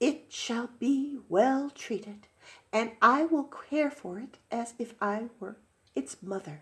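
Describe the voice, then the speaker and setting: A woman does a put-on character voice at a fairly high pitch and a fairly slow pace. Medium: read story. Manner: stern, commanding.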